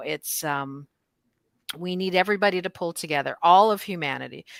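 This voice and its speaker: A woman's fairly low voice has a bright, sharp tone. The sound is dry and close with no echo, on a very clean recording with a silent background. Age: 60s. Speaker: Reiki master teacher and clergy host. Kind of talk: casual spiritual discussion. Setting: livestream.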